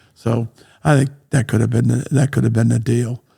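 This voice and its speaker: Speaking with an American accent, a man uses a dark, mellow, medium-pitched voice with vocal fry. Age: 70s. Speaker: real estate entrepreneur. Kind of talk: interview conversation. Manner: repetitive, emphatic.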